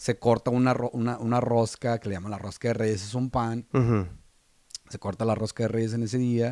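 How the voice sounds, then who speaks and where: In a dry recording with no echo and a quiet background, a man speaks at a moderate pace in a dark, mellow tone with monotone, flat intonation. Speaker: podcast co-host. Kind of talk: casual podcast chat. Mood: relaxed, some laughter. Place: studio. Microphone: studio mic.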